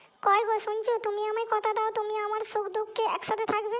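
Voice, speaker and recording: A female-sounding cartoonish character voice, extremely high-pitched, monotone and flat, at a moderate pace. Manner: sharp, nagging.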